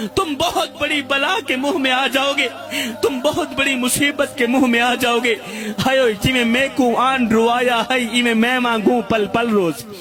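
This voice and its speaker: The man's pitch is extremely high, with ordinary pitch variation. Noticeable background noise runs through the clip. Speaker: religious preacher. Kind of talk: religious sermon. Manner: emotional, impassioned.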